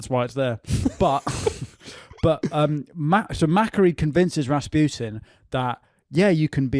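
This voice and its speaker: A normal speaking voice with ordinary pitch variation is captured in a very clean recording with a silent background and a dry, close sound with no echo. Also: man. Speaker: stand-up comedian, podcast host. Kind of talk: comedic history discussion on a comedy podcast. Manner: fast, conversational, humorous storytelling.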